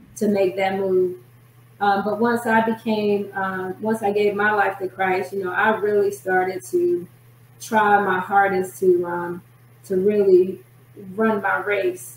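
Over noticeable background noise, a woman with a medium-pitched voice speaks at a very slow pace, leaving long, frequent pauses. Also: fairly even intonation. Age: 40s. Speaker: prophetess and author. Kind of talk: testimony.

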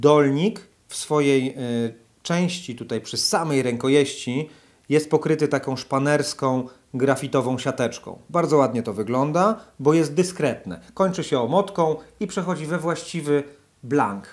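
A man's pitch varies in an ordinary way as he talks fairly slowly against a quiet background. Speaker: angler reviewing a fishing rod. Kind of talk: product review talk. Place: home room.

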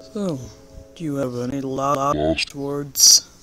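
A man's put-on character voice, fairly high in pitch and very slow, over clear background noise. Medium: fan dub. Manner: terse, menacing.

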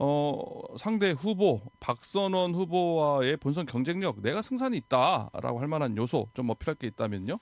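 With hardly any pauses, a man speaks at a fairly slow pace and fairly high pitch, his very wide pitch swings heard in a dry, close sound with no echo. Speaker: radio host. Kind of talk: radio interview. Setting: radio studio.

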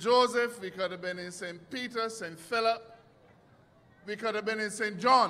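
In a Barbadian accent, a man uses a raised, projected voice with high pitch, ordinary pitch variation and a moderate pace. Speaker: politician. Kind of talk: political rally speech. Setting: outdoor stage with audience.

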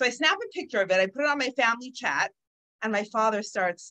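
Her pitch leaps across a very wide range. This woman's voice is raised and projected, bright and sharp in tone. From Toronto, Canada. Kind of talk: lecture.

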